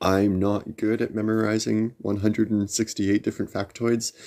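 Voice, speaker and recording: A man is talking. He mumbles. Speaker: tarot reader livestream host. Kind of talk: live stream chat. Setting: livestream. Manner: mumbling.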